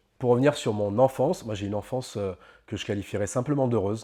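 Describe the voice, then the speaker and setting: In a quiet background, a man speaks very fast at a medium pitch, his dark, mellow tone showing ordinary pitch variation. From France, Normandy (Caen). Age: 30s. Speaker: life coach. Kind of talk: interview monologue. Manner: hesitant, many fillers.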